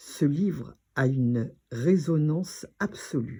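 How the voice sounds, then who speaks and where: A somewhat breathy, dark, mellow tone with ordinary pitch variation, on a very clean recording with a silent background. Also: woman. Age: 80s+. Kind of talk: personal talk to camera.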